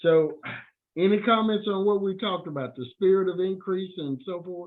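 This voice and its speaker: A man's high-pitched voice with ordinary pitch variation and big swings in loudness. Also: moderate pace. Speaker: discussion leader. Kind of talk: group discussion. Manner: soft-spoken.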